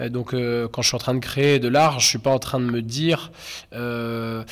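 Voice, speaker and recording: A man's medium-pitched voice keeps a fairly even intonation over noticeable background noise. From Normandy, Caen. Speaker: street artist. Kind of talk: interview. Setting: indoors in venue corridors. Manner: halting, many hesitations.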